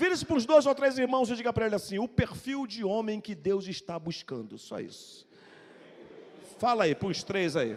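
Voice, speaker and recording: A man speaks with a high pitch and lively intonation. He leaves long, frequent pauses. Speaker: pastor. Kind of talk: sermon. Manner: fast.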